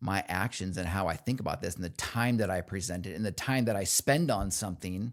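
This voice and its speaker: A man's fairly low, animated voice at a fairly quick pace, with ordinary pitch variation, in a very clean recording with a silent background. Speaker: construction company CEO. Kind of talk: casual interview chat.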